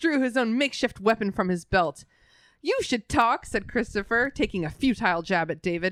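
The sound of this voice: Someone reads in an unforced voice, the intonation rising and falling with liveliness.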